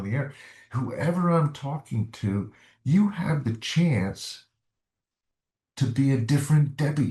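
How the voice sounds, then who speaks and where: With an American accent, a man talks at a fairly slow pace over a quiet background. His fairly high voice is dark, mellow and somewhat breathy, with very wide pitch swings. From US South. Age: 70s. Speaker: retired doctor, ex-smoker. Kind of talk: interview testimony. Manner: halting.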